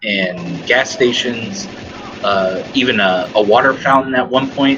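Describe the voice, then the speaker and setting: Over noticeable background noise, a man with an American accent talks at a very slow pace. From US Midwest, Dayton, Ohio. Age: 30s. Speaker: mental health worker. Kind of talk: casual chat. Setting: gaming podcast recording. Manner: halting.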